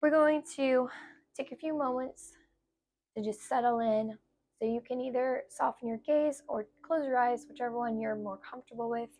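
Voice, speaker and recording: A woman's high-pitched, calm and relaxed voice at a moderate pace, with fairly even intonation. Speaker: yoga instructor. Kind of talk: guided yoga class. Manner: calm, relaxed.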